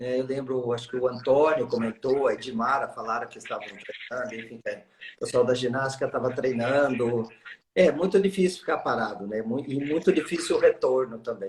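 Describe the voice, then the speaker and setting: A man at a moderate pace, with big swings in loudness and ordinary pitch variation. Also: medium pitch for a man. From São Paulo state interior, Americana. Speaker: gymnastics expert guest. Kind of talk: casual live-stream chat. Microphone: sounds a bit quiet.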